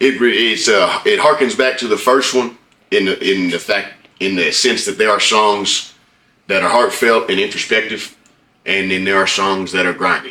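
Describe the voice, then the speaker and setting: With an American accent, a man with a fairly low pitch speaks at a moderate pace with ordinary pitch variation. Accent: twang. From Oklahoma. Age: 30s. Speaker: rapper. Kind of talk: interview.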